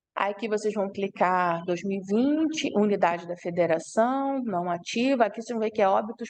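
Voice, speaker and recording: A normal speaking voice comes at a moderate pace. It has ordinary pitch variation. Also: woman. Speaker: university lecturer. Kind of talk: online lecture.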